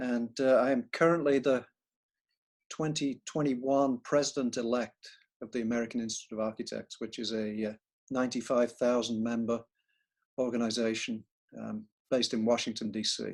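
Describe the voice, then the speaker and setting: A man with a northern English accent at medium pitch, fairly even intonation, a moderate pace and long, frequent pauses, on a very clean recording with a silent background. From northern England. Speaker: architect and professor. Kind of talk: interview.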